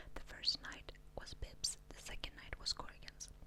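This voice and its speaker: A woman whispering in a gentle tone at a moderate pace. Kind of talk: ASMR book reading. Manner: whispered, gentle.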